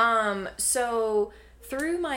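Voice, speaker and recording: Bright and sharp in tone, a woman speaks with a Southern US accent. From North Carolina, Davie County. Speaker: health coach. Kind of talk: casual interview chat.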